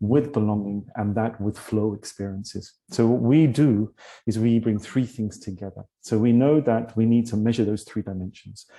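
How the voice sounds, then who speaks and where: A man with a British accent and a dark, mellow tone speaks at a medium pitch and a moderate pace, his intonation fairly even and with hardly any pauses. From London, England. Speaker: leadership coach and tech CEO. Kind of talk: interview. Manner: hesitant, many fillers.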